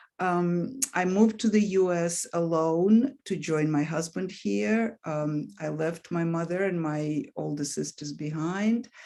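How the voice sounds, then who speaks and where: With a Russian accent, a woman of fairly low pitch and dark, mellow tone speaks at a fairly slow pace with lively intonation and hardly any pauses. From Russia, Leningrad. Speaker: author. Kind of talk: interview. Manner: hesitant, with fillers.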